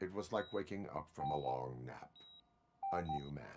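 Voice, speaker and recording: This man puts on a character voice pitched very deep and low. His delivery moves at a moderate speed. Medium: video game. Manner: flat, measured.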